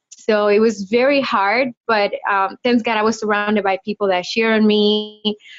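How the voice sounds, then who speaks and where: A woman with a Spanish accent speaks at a moderate pace and hardly pauses, her fairly high voice flat and monotone. Her loudness stays very even throughout. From Dominican Republic. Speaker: lawyer. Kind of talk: interview.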